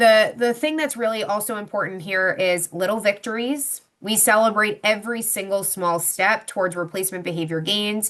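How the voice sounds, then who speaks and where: A woman talks at a medium pitch with ordinary pitch variation and hardly any pauses. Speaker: psychologist presenting on behavior plans. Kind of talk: webinar presentation with Q&A. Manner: fast.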